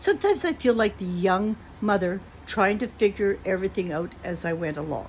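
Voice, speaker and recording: A woman speaks at a fairly quick pace, her voice somewhat breathy. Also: medium pitch for a woman, ordinary pitch variation. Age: 60s. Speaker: vlogger. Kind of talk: casual chat. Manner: reflective.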